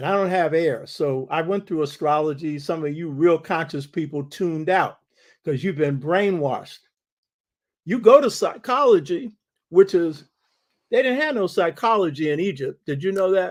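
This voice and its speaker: A man's high voice with lively intonation at a moderate pace, over a quiet background. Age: 80s+. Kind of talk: casual talk to online audience.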